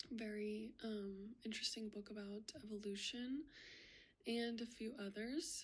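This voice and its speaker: A woman's somewhat breathy voice at a fairly high pitch. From US (Florida and Oklahoma), Russian-speaking family. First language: Russian. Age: 20s. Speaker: university student. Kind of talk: self-introduction video. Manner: hesitant, many fillers.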